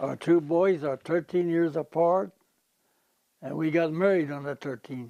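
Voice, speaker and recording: An American-accented man talks at a fairly slow pace with a dark, mellow tone, ordinary pitch variation, and long, frequent pauses. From Nebraska, Genoa area, US. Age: 80s+. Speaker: war veteran. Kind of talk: interview. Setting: outdoors.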